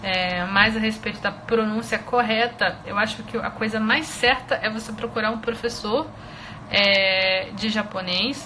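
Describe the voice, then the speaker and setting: A woman with a Brazilian accent, fairly high in pitch, at a fairly slow pace with ordinary pitch variation over noticeable background noise. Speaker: Japanese language teacher. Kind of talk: live online lesson. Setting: Instagram live stream. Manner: hesitant, many filler sounds.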